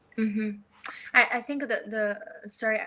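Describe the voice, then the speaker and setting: With a Chinese accent and a fairly high pitch, a woman speaks over noticeable background noise. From northeast China. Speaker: entrepreneur, podcast guest. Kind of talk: casual interview conversation.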